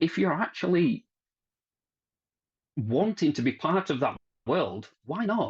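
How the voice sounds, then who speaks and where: A man with a Barnsley accent speaks at a very slow pace in a high voice with very wide pitch swings and long, frequent pauses against a quiet background. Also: dry, close sound with no echo. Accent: Barnsley accent, noticeable. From South Yorkshire, Barnsley. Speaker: technical manager at plumbing manufacturer. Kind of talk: interview conversation.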